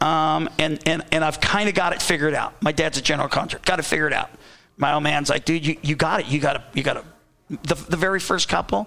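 Speech comes very fast in a Californian accent. The tone is bright and sharp, the intonation fairly even. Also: man, fairly high pitch for a man. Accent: Californian American English. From Southern California. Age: 50s. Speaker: former motocross racer, team owner. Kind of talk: casual interview chat. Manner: halting, many fillers.

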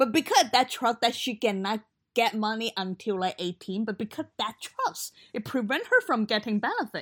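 A woman's unremarkable speaking voice, fairly high in pitch with ordinary pitch variation, at a moderate pace, in dry, close sound with no echo. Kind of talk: casual chat.

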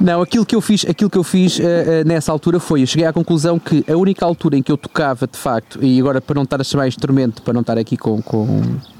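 Very fast speech from a man with a European Portuguese accent. He barely pauses at all. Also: fairly high pitch for a man, ordinary pitch variation, dry, close sound with no echo. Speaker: podcast co-host. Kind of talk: casual chat.

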